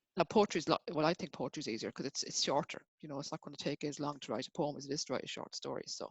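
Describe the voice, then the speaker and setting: Talking at a very fast pace with hardly any pauses, a woman speaks with a very deep, low pitch and ordinary pitch variation. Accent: Irish. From Ireland. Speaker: writer. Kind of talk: interview. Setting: video call. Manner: halting.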